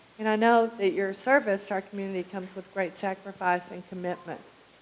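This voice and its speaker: Through noticeable background noise, a woman speaks at a moderate pace and medium pitch with fairly even intonation. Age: 60s. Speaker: public commenter at city council. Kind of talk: prepared public comment. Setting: city council meeting.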